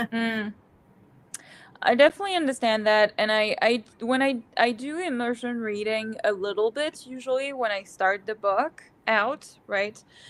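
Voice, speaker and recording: With music in the background, a woman speaks in a French accent at a moderate pace, her fairly high pitch showing ordinary variation. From France. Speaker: book channel co-host. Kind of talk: casual chat. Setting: livestream.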